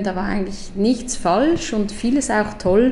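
Lively intonation marks this woman's medium-pitched voice at a moderate pace. Noticeable background noise and audible room echo surround her. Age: 40s. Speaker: strategic designer, education co-founder. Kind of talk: casual interview. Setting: in person at office.

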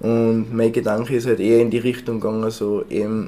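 A man in a Tyrolean accent speaks at a medium pitch with a dark, mellow tone. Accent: Tyrolean Austrian German. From Tyrol, Austria. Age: 20s. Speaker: baker and bread sommelier. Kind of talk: casual interview. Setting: in his café.

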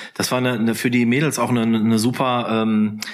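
A man at a medium pitch and a moderate pace. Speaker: author. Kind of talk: casual chat. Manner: calm.

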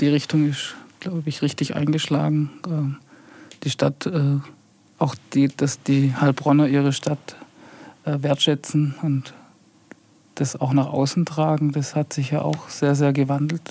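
Fairly high for a man, this voice stays flat and monotone. He goes at a fairly slow pace with long, frequent pauses. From Heilbronn, Baden-Württemberg. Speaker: head of a city property and urban renewal office. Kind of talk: podcast interview.

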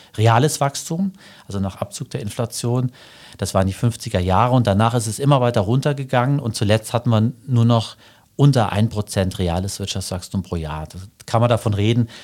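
Recorded very cleanly against a silent background, a man uses a normal speaking voice at medium pitch with ordinary pitch variation. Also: moderate pace. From Germany, Saarland. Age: 50s. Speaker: financial journalist. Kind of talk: interview.

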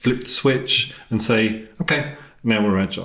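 This man speaks in a fairly low pitch with fairly even intonation and an English accent. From England. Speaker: podcast host. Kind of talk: interview conversation. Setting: in person, same room.

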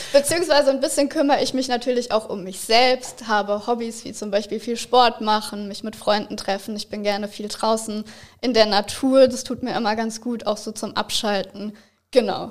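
A woman speaks in a normal speaking voice at a fairly high pitch and a moderate pace. Her loudness swings widely, though her intonation stays fairly even. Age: 20s. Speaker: psychology student. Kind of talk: interview.

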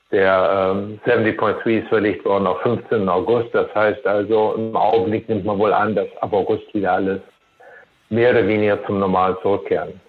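Music plays behind the speech. A man talks at a moderate pace. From Germany. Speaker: race volunteer director. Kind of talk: interview. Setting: phone call.

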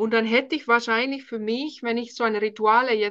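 In a Finnish accent, a woman speaks at a fairly high pitch with a bright, sharp tone and ordinary pitch variation. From Finland. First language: Finnish (speaking German). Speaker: speech coach. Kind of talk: interview.

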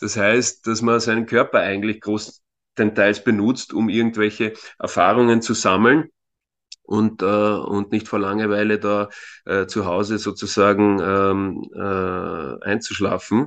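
Against a quiet background, a man with an unremarkable speaking voice talks at a fairly slow pace, his pitch fairly low and intonation fairly even. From Austria, Vienna area. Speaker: youth football coach. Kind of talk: interview. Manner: frequent filler words.

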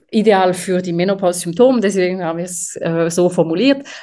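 At a moderate pace, a woman speaks in a dark, mellow tone at medium pitch. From French-speaking Switzerland. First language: French (speaking German). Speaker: company co-founder, materials scientist. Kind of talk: interview.

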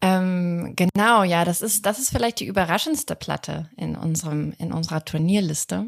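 A woman with an unremarkable speaking voice talks at a fairly slow pace. Her pitch is fairly low with ordinary variation, and the sound is dry and close with no echo. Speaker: music podcast guest. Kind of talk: casual music discussion. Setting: remote call from another time zone.

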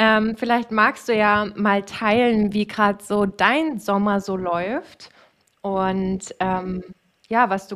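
A woman speaks at a very slow pace with a medium pitch and fairly even intonation. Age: 30s. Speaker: podcast host and coach for self-employed women. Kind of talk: casual chat.

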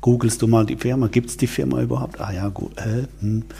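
A man's voice over noticeable background noise. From Switzerland. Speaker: wine event organizer, former media executive. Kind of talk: interview. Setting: office, in person.

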